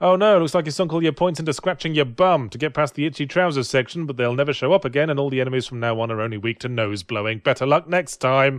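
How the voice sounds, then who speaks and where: With hardly any pauses, a man talks at a very fast pace in a fairly high voice with ordinary pitch variation against a quiet background. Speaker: game critic. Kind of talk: comedic video game review narration.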